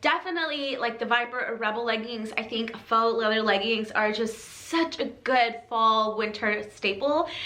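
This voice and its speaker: Amid audible room echo and noticeable background noise, a woman with a fairly high voice talks at a moderate pace with hardly any pauses and ordinary pitch variation. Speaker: fitness apparel reviewer. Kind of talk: product review video. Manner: casual, filler-heavy.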